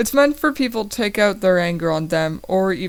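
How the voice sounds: Lively intonation in a natural reading voice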